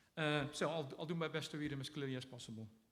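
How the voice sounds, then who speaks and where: The speaker has a slight Dutch accent and ordinary pitch variation. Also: man. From Netherlands. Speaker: poet. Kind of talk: poetry reading. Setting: stage with audience. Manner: halting.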